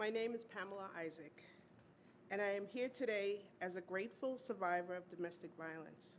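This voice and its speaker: A woman speaks at a medium pitch and a moderate pace with ordinary pitch variation. She has a normal speaking voice. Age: 60s. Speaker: domestic violence survivor, teaching artist. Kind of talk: testimony speech. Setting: awards luncheon stage.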